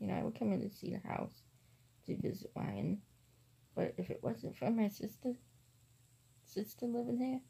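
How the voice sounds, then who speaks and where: A woman speaks at a moderate pace. Her voice is soft-spoken. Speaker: vlogger. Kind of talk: casual vlog. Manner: quiet, soft-spoken.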